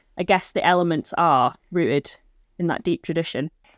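A woman with a northwest English accent speaks at medium pitch. Her pitch varies in an ordinary way. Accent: north-west English (Manchester area). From Stockport, north-west England. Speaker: folk musician, accordionist. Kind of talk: casual interview chat. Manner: hesitant, many fillers (um, like).

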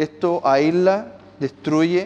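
Speech comes at a very slow pace in a Chilean accent. Pitch variation is ordinary. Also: man. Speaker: pastor. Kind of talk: sermon. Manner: animated.

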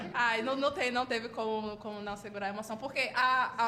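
There is audible room echo as a woman talks at a moderate pace, her high pitch moving with ordinary variation. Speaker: university student. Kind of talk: casual chat. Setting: live stream with panel.

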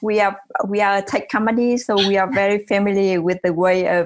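In a Vietnamese accent, a woman speaks at a medium pitch with very even loudness. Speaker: tech company CEO. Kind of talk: interview. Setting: remote call.

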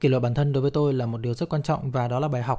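Set against a very clean, silent background, a man's somewhat breathy, dark, mellow voice sits at a medium pitch with fairly even intonation. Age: 30s. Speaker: podcast host. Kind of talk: casual monologue.

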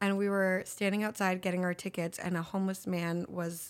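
This woman has an ordinary speaking voice, medium pitch, and an American accent, speaking at a fairly quick pace with fairly even intonation in a very clean recording against a silent background. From Los Angeles. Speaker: actress and film director. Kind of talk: interview podcast, casual chat.

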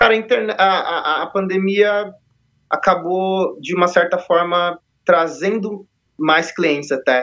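A man's high, bright, sharp voice at a very slow pace, with long, frequent pauses and ordinary pitch variation. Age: 30s. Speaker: leather strap maker, entrepreneur. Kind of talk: casual interview chat.

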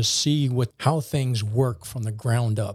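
A man's somewhat breathy voice, dark and mellow in tone, at a medium pitch and moderate pace, on a very clean recording with a silent background. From New Orleans, Louisiana. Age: 50s. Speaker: military colonel and project manager. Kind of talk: casual podcast interview.

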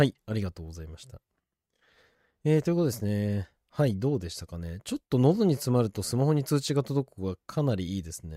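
The voice has a dark, mellow tone and a very fast pace. Its pitch swings very widely. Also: man, medium pitch for a man, dry, close sound with no echo. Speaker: podcast host. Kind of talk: casual chat. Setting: remote video call. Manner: jokey, playful.

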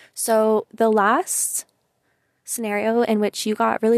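The speaker is a woman. The sound is dry and close, with no echo. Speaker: podcast host, solo monologue. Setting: car. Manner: casual, chatty, sometimes brash.

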